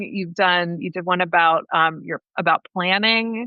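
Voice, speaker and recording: A woman with a normal speaking voice talks at a fairly slow pace. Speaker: podcast host, lactation business coach. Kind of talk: casual podcast conversation.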